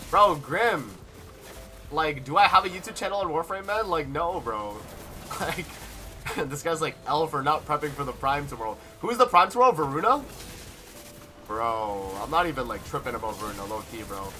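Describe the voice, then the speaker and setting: The tone is animated, with very wide pitch swings and big swings in loudness at a fairly quick pace. Long, frequent pauses break up the speech, and background noise is noticeable. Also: man, fairly high pitch for a man. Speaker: gaming streamer. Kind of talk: live gameplay stream chat. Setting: live stream. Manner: casual, animated.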